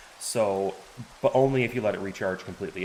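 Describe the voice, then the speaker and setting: A man talks at a fairly quick pace with fairly even intonation. Noticeable background noise is present. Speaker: game streamer. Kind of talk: live gameplay tutorial. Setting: live stream. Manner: hesitant, many fillers.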